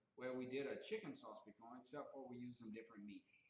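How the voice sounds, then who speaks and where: A man talks at a fairly quick pace with lively intonation, audible room echo and light background noise. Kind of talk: casual cooking tutorial. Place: kitchen. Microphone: camera far.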